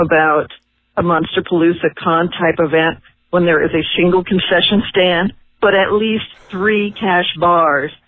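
A woman's fairly low voice, a plain, everyday voice, at a fairly slow pace with ordinary pitch variation. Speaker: listener caller. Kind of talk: casual voicemail report. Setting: phone call.

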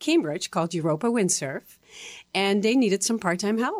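A woman with a Dutch accent, medium pitch, and lively intonation, on a very clean recording with a silent background and a dry, close sound with no echo. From Netherlands. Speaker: stroke survivor and advocate. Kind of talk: interview.

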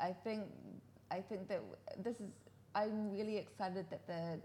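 A woman with a New Zealand accent speaks at a moderate pace in a dark, mellow tone. Her voice is somewhat breathy, with fairly even intonation. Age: 40s. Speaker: sake specialist. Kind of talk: casual chat. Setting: studio.

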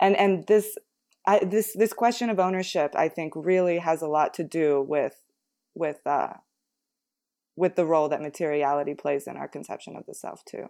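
A plain, everyday voice from a woman at a fairly low pitch, with ordinary pitch variation, a moderate pace and big swings in loudness, on a very clean recording with a silent background. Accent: American. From United States. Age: 20s. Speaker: podcast co-host. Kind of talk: casual chat.

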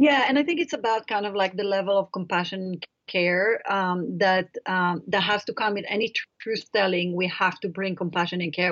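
A woman speaks with an Israeli accent. Her pitch varies in an ordinary way. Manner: halting, with frequent fillers.

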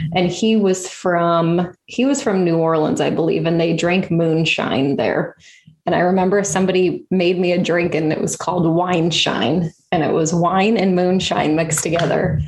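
At a moderate pace, a woman talks with hardly any pauses and very even loudness. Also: fairly low pitch for a woman, ordinary pitch variation. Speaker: podcast host and swallowing specialist. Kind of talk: casual interview chat.

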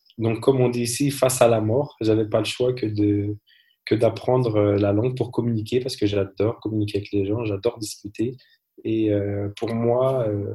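A man speaks at a medium pitch in a somewhat breathy, dark and mellow voice. His intonation stays flat and monotone. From France. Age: 30s. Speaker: entrepreneur and cosmetics consultant. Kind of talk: interview. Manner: halting.

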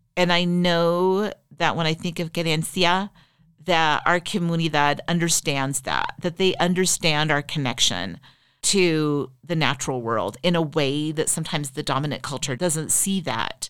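A woman with a Western US accent talks at a moderate pace, her fairly low pitch showing ordinary pitch variation. The recording is very clean, with a silent background. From Utah, Riverton. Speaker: former state legislator. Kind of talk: interview.

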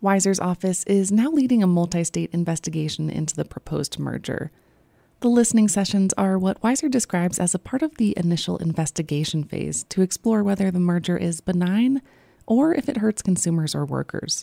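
Dry and close with no echo, a woman's plain, everyday voice at medium pitch moves at a fairly quick pace with lively intonation. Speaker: radio reporter. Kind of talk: news reporting.

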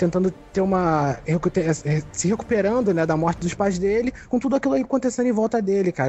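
This man has a high pitch and lively intonation. He talks at a fairly quick pace. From Rio de Janeiro, Brazil. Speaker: podcast co-host. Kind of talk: casual chat.

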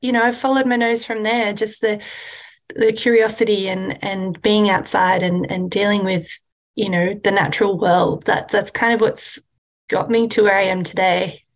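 Her pitch moving little, a woman talks with an Australian accent. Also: medium pitch for a woman, moderate pace.

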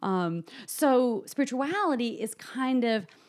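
A woman speaks very slowly with an American accent. The recording is very clean, with a silent background. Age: 30s. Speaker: psychotherapist. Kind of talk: interview.

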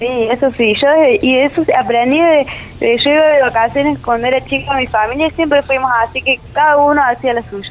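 A woman speaks at a fairly quick pace with a Córdoba Argentine accent, her pitch high. Her intonation stays fairly even over noticeable background noise. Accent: Córdoba tonada. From Almafuerte, Córdoba, Argentina. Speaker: travel content creator. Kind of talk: casual interview.

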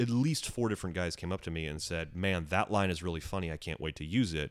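A man talks at a fairly quick pace in a very deep, low pitch with lively intonation. The recording is very clean, with a silent background. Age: 30s. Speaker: magician and comedian. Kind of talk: casual chat. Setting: in the host's home.

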